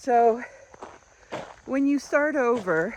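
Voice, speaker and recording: A woman with a fairly high pitch speaks over noticeable background noise. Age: 60s. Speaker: lifestyle vlogger. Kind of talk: casual vlog talk while walking. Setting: outdoors, walking.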